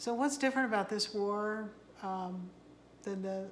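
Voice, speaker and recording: A soft-spoken woman talks at a moderate pace with ordinary pitch variation. There is audible room echo. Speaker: tarot card reader. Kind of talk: casual monologue to camera. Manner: halting. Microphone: no microphone.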